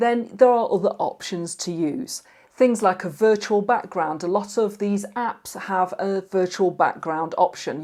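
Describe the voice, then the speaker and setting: Here a woman uses a normal speaking voice at a medium pitch. She keeps a moderate pace with ordinary pitch variation. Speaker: image consultant. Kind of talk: tutorial.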